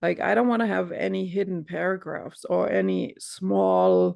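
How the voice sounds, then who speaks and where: A non-native accent is heard. Delivery is fairly slow. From Europe. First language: not English. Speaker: coach. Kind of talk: casual chat.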